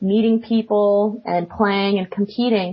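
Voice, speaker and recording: A woman with an American accent speaks at a fairly slow pace. Her fairly high voice is somewhat breathy. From Florida. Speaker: competitive card game player. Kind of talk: interview. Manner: hesitant with fillers.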